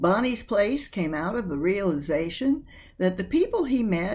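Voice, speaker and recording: A woman's fairly high, somewhat breathy voice with a dark, mellow tone, very wide pitch swings and a fairly slow pace over a quiet background. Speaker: video host / book presenter. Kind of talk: scripted narration about a book. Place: home room. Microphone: webcam.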